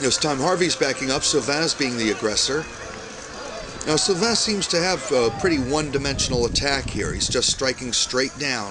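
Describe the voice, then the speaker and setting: Over noticeable background noise, a man talks at a moderate pace with a fairly high pitch. His intonation is lively and his loudness stays very even. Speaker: sports commentator / broadcast announcer. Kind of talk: live sports commentary.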